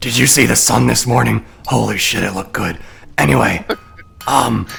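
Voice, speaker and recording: Putting on a character voice, a man sounds raspy and very deep and low, with very wide pitch swings at a moderate pace. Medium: actual play. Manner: casual, street-tough.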